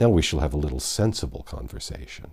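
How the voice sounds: Using a put-on character voice, a man talks fast at an extremely low pitch, with a slightly husky edge, vocal fry and big pitch swings.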